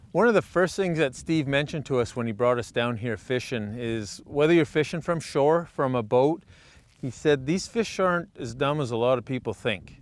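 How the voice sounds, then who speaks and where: A man with a plain, everyday voice, fairly high in pitch, with lively intonation at a moderate pace. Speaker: fishing show host. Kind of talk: outdoor show commentary.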